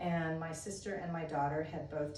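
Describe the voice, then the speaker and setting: With audible room echo and noticeable background noise, a woman speaks in a very deep, low pitch with fairly even intonation. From US (military family, moved around). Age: 60s. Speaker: yoga teacher trainee. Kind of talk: self-introduction monologue. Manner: casual with frequent fillers.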